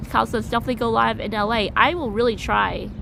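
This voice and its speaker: There is audible room echo as a woman with an American accent speaks at a moderate pace. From US, New York City. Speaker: vlogger, live streamer. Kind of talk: live stream chat. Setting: outdoors walking downtown.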